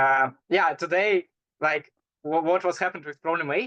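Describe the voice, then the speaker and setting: A man with a non-native accent, a bright, sharp tone and a moderate pace, in a dry, close sound with no echo. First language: not English. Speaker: competitive programmer. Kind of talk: casual interview. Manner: halting.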